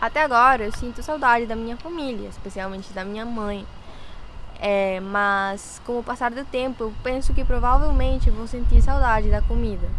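Loudness swings widely at a moderate pace, with ordinary pitch variation and audible room echo. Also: woman, fairly high pitch for a woman. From Colombia, Ibagué. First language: Spanish (speaking Portuguese). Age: 18. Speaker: university student. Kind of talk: interview.

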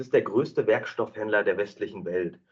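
A man talks at a fairly quick pace. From Germany, East Westphalia. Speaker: marketing and sales manager. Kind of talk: interview. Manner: hesitant, many fillers.

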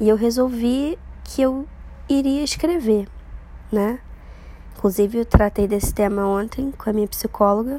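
The speaker is somewhat breathy, talking at a fairly slow pace with long, frequent pauses. Pitch varies in an ordinary way. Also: woman. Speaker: podcaster and journalist. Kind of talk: casual monologue. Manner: rambling, filler-heavy.

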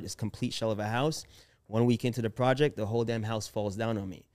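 A man talks at a very fast pace in a medium pitch with fairly even intonation, on a very clean recording with a silent background. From born in Jamaica, raised in US. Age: 30s. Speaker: real estate investor. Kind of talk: interview storytelling.

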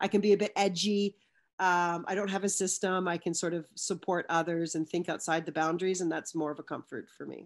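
In a Western Canadian accent, a woman speaks at a fairly quick pace with a fairly low pitch and fairly even intonation. The recording is very clean, with a silent background. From Canada, British Columbia (Vancouver area). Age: 40s. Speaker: physical education teacher and children's sport advocate. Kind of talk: casual chat.

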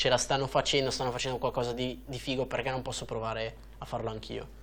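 Fairly quick speech from a man, monotone and flat in intonation, with vocal fry. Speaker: cycling YouTuber and podcast host. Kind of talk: interview. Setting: studio. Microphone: studio quality audio.

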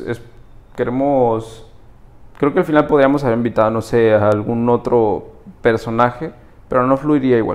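With a plain, everyday voice, a man talks at a medium pitch and with fairly even intonation. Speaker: podcast co-host. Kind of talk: casual interview chat. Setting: studio.

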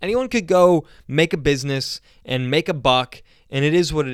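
A man talks in an animated tone, and the sound is dry and close with no echo. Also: very clean recording, silent background. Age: 20s. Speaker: podcast host and startup founder. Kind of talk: casual solo talk.

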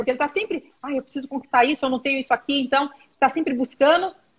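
A woman speaks with a high pitch. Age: 50s. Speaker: corporate training executive. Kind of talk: live-stream interview.

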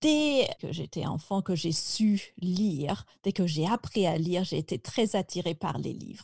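Very slowly, a woman speaks in a fairly low, somewhat breathy voice with a dark, mellow tone and lively intonation on a very clean recording with a silent background. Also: dry, close sound with no echo. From France, Picardy. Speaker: French teacher. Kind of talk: interview.

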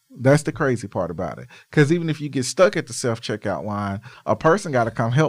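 A man talks very fast at medium pitch, with vocal fry. His pitch swings very widely, and so does his loudness. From Arkansas. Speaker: nonprofit director and marketer, former radio and TV worker. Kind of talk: casual chat.

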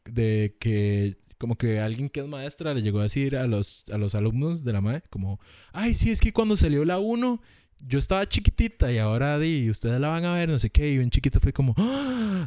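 A man with a Costa Rican accent has a dark, mellow tone and very wide pitch swings. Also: medium pitch for a man, moderate pace, very clean recording, silent background. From Costa Rica, Moravia (San José). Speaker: podcast host. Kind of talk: casual chat.

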